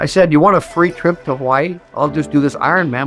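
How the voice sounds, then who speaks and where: A man's lively intonation at a fairly quick pace, with music in the background. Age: 70s. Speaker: endurance athlete, retired Air Force pararescueman, coach. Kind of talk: interview answer.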